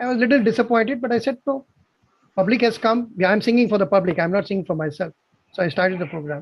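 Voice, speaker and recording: Delivered at a very fast pace in a Tamil accent, the speech has ordinary pitch variation. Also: man. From South India, Bangalore. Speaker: amateur singer. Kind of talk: casual chat.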